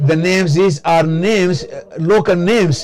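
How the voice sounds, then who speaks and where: A man with a high pitch speaks at a fairly slow pace with ordinary pitch variation. Music plays in the background. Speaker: simultaneous interpreter. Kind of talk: interpreted lecture. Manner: halting, many fillers.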